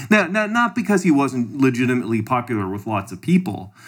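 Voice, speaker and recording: With a Canadian accent, a man of medium pitch has an unremarkable speaking voice, lively intonation and a fairly quick pace. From Canada. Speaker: podcast co-host. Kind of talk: casual political discussion.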